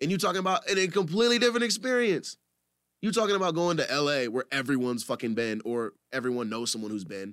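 A man with an American accent talks very fast in an animated tone, his pitch swinging very widely. The recording is very clean, with a silent background. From US Midwest, Cedar Rapids, Iowa. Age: 20s. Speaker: musician. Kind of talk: casual chat.

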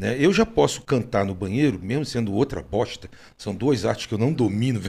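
A man's dark, mellow, somewhat breathy voice with lively intonation at a moderate pace, on a very clean recording with a silent background. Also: medium pitch for a man. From Rio de Janeiro, Brazil. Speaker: podcast host. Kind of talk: casual chat.

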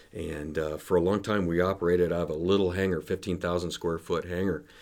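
A man's very deep, low, monotone voice with an American accent at a fairly quick pace, on a very clean recording with a silent background. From US West, Denver. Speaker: aviation operations executive. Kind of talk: interview. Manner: halting, many fillers.

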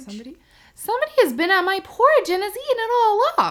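A put-on character voice at an extremely high pitch delivers its lines at a moderate pace. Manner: plaintive, surprised.

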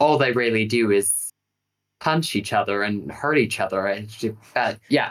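A man speaks in a plain, everyday voice, his pitch varying in an ordinary way. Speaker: podcast co-host. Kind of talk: casual chat.

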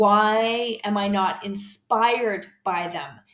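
A woman at a medium pitch, flat and monotone in intonation, with audible room echo. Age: 50s. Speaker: podcast host and health coach. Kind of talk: solo podcast monologue. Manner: casual with frequent fillers.

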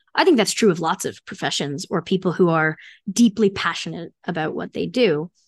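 Against a quiet background, a woman speaks at a fairly quick pace in a fairly low pitch with ordinary pitch variation. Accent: American. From New Jersey, US. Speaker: architect and career consultant. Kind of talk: interview conversation.

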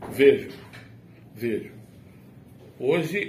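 Audible room echo surrounds a man's somewhat breathy voice. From Brazil, rural Rio Grande do Norte (Agreste Potiguar). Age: 60s. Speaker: retired teacher. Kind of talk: casual chat. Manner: formal.

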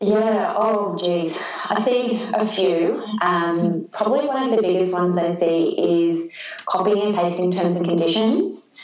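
Noticeable background noise sits behind a woman speaking at a medium pitch. She talks at a fairly slow pace with very even loudness and ordinary pitch variation. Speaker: lawyer and business owner. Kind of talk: casual interview chat.

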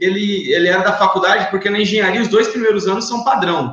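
There is noticeable background noise behind this male speaker. The room adds audible echo to his voice. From São Paulo state (Itapevi, greater São Paulo). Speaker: network marketing leader, former engineer. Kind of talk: live interview. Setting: online live stream. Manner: casual slangy speech.

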